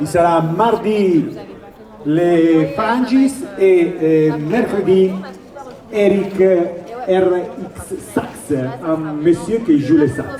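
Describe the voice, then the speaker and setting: Over crowd noise and audible room echo, a man with an Italian accent speaks very slowly in a high pitch, with ordinary pitch variation and long, frequent pauses. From Italy. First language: Italian (speaking French). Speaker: shopkeepers' association representative. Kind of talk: public announcement.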